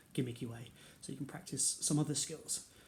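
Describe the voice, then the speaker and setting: A man with a British accent speaks fairly quickly at a medium pitch, his dark, mellow tone touched with vocal fry and his intonation fairly even. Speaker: karate instructor. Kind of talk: online exercise class instruction. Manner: quieter than usual.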